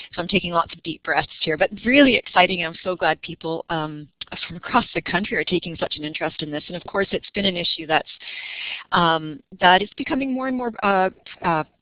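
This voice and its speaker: A woman with a fairly low pitch talks at a fairly quick pace with lively intonation. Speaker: youth counselor, presenter. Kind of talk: webinar presentation. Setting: online webinar audio. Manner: fast; young-sounding.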